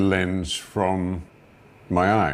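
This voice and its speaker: A man speaks at a very slow pace. His pitch is very deep and low. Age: 70s. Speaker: interviewee recounting medical experience. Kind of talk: interview answer.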